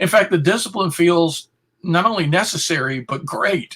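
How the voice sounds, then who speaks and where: This man's voice is raised and projected, high-pitched, with a bright, sharp tone. He speaks at a fairly slow pace. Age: 60s. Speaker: philosopher and author. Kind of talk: interview.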